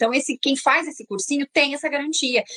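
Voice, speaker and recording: A woman speaks high with a bright, sharp, animated tone. The sound is dry and close, with no echo. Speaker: exchange program agent. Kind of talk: interview on a live stream.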